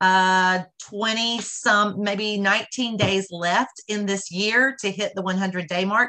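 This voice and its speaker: The background is quiet as a woman speaks. Her tone is bright and sharp. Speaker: charity event host. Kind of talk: announcements and introduction. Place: home room. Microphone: video call.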